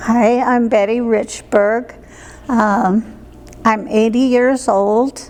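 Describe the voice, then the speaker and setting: Over noticeable background noise, a woman with an American accent talks at a very slow pace in a monotone, flat, fairly high voice. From US Midwest, small town Iowa. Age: 80s+. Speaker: senior center member. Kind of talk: interview.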